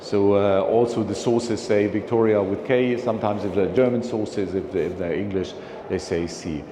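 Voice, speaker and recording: With noticeable background noise and audible room echo, a man speaks at a fairly low pitch with fairly even intonation. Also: moderate pace. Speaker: philatelic speaker. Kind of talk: lecture. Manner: halting.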